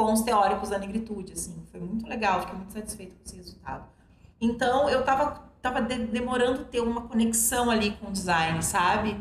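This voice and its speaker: A fairly high-pitched woman at a fairly quick pace with fairly even intonation, amid audible room echo and noticeable background noise. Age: 40s. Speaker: journalist. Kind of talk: casual interview chat.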